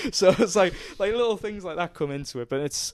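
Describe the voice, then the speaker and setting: A man speaks at a moderate pace, his pitch swinging very widely. The sound is dry and close, with no echo. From northern England, County Durham. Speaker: strength and conditioning coach. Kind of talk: podcast interview. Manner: pauses in odd places.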